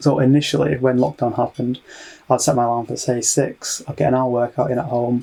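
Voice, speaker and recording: This man's voice has a medium pitch. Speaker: illustrator and YouTuber. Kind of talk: vlog monologue. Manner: fast.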